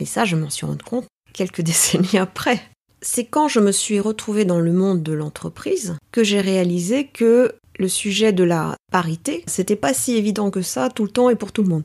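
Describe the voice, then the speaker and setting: A woman with a normal speaking voice keeps a moderate pace at a medium pitch, her intonation lively. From Paris, France (Greek parents). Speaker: executive and team coach. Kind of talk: interview.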